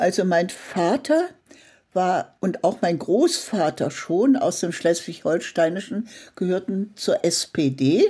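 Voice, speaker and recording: Speaking at a very slow pace, a woman uses lively intonation at a medium pitch. The recording is very clean with a silent background. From Saxony-Anhalt, Germany (Merseburg). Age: 80s+. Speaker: art journalist. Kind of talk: interview conversation.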